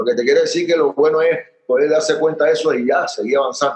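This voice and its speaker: A man speaks with a Panamanian accent. His pace is fairly quick. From Panama, Chitré. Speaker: punk rock musician. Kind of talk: casual interview. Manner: halting.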